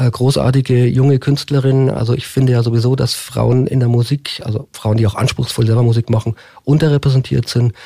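Somewhat breathy and dark, mellow in tone, a man speaks at a fairly quick pace with monotone, flat intonation and very even loudness. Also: medium pitch for a man, dry, close sound with no echo. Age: 50s. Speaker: mayoral candidate. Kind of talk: radio interview. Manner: hesitant fillers.

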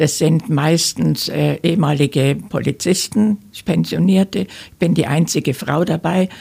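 A woman's very deep, low voice with vocal fry and a dark, mellow tone, ordinary pitch variation, and a fairly slow pace. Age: 80s+. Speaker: fraud victim, senior council speaker. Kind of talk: interview testimony. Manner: halting, many filler sounds.

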